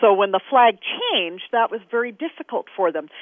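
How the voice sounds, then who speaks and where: A woman with an American accent and a plain, everyday voice, lively intonation, and a moderate pace. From Kansas. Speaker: flag scholar. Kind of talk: interview.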